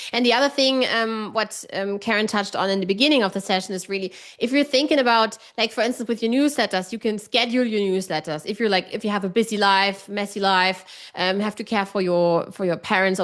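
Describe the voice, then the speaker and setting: A woman with a German accent, medium-pitched, ordinary pitch variation, very fast pace with hardly any pauses, quiet background. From Germany. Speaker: online writing coach. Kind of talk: casual chat. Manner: direct.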